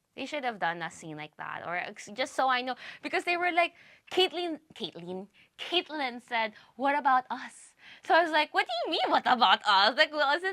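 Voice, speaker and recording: Dry and close with no echo, a woman's bright, sharp, animated voice moves at a moderate pace with very wide pitch swings and big swings in loudness. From Philippines. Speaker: reaction youtuber. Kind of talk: casual reaction commentary. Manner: halting, self-correcting.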